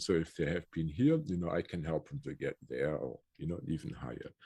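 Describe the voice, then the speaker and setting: Speaking at a moderate pace, a man uses a very deep, low voice with vocal fry and ordinary pitch variation. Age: 60s. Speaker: energy healer. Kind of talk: casual interview chat. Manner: hesitant, many fillers.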